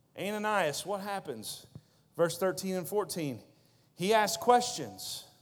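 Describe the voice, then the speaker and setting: A high-pitched man's voice at a fairly slow pace, with ordinary pitch variation and audible room echo. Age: 30s. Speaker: youth pastor. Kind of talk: sermon.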